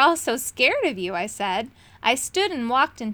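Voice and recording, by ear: A natural voice reading aloud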